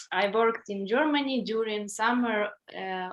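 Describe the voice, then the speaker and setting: A woman speaks with a Ukrainian accent. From Ukraine, Melitopol. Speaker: English language student. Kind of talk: reading aloud.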